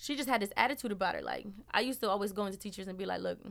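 A woman with an American accent speaks at a very fast pace, her medium pitch showing vocal fry and ordinary pitch variation. The recording is very clean, with a silent background. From Milwaukee, Wisconsin (Southside). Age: 20s. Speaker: podcast guest. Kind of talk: casual chat. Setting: studio.

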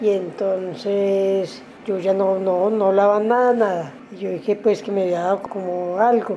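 A woman with a plain, everyday voice speaks at a medium pitch and a fairly slow pace, with fairly even intonation and hardly any pauses. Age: 60s. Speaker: stroke survivor. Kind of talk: testimony.

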